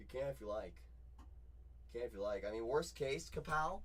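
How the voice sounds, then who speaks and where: The voice is loud, with very wide pitch swings and a fairly quick pace. Room echo can be heard. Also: man. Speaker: card breaker livestream host. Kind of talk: live card break stream.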